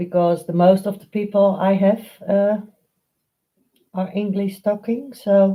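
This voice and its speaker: Speaking in a Dutch accent, a woman with a dark, mellow tone goes at a fairly slow pace with monotone, flat intonation, big swings in loudness and long, frequent pauses. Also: medium pitch for a woman. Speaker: painting tutor. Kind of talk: live stream painting tutorial. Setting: live stream. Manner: halting, many fillers.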